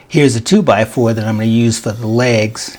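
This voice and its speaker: Noticeable background noise runs under the voice. The pace is fairly quick and the intonation fairly even. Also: man. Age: 60s. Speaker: woodworker. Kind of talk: casual how-to talk to camera.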